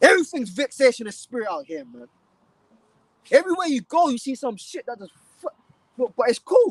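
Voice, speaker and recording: A man shouts at a moderate pace, the sound dry and close with no echo. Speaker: street preacher. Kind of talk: live street preaching stream. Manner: shouting; animated.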